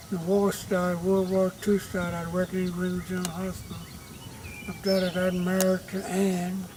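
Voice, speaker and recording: With a Southern US accent and a high voice, a man speaks at a moderate pace over noticeable background noise. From US South. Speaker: family elder. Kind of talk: family oral history.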